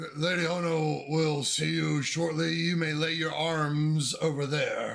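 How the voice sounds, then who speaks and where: A man uses a put-on character voice, fairly high in pitch, at a fairly slow pace. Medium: actual play. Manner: formal, curt.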